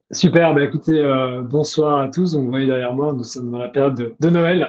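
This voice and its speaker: The voice is a man's, dark and mellow in tone. His intonation stays fairly even. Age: 30s. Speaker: Web3 event organizer and entrepreneur. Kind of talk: podcast interview.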